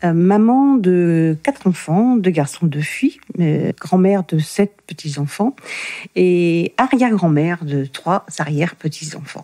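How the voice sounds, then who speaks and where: A woman's dark, mellow tone, very slow pace and lively intonation, at very even loudness, with a dry, close sound and no echo. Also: fairly low pitch for a woman. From Normandy, France (Le Havre). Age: 60s. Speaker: interviewee sharing her life story. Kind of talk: testimony. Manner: hesitant, many fillers and repetitions.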